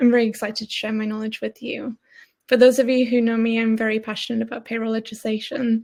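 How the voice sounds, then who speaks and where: A woman speaks with a Geordie accent in a dark, mellow tone. Her intonation is monotone and flat. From northern England, Newcastle area. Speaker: payroll expert. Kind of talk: webinar presentation. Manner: fast.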